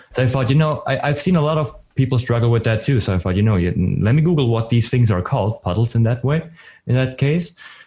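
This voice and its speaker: A man's medium-pitched, somewhat breathy voice with a dark, mellow tone, very fast pace, ordinary pitch movement and very even loudness. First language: not English or German. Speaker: 3D artist and streamer. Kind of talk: casual podcast interview. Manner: halting, many restarts.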